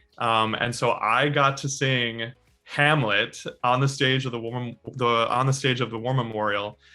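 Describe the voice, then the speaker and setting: Music plays in the background. The speaker goes at a very slow pace with fairly even intonation. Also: man. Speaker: opera singer, baritone. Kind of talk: interview answer. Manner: hesitant, casual, with filler words.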